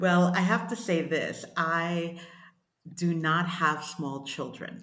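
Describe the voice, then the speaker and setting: In a New York accent, a woman speaks very slowly at a fairly low pitch with fairly even intonation. Audible room echo fills the recording. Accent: New York American. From US Northeast, Brooklyn New York. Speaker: writer and coach. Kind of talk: interview.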